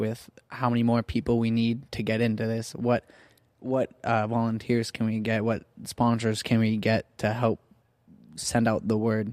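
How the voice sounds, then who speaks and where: In a Southern Californian accent, a man speaks at medium pitch and moderate pace with monotone, flat intonation, in a very clean recording with a silent background and a dry, close sound with no echo. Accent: Southern California American. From Orange, California. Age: 20s. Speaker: church youth ministry worker. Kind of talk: casual interview chat.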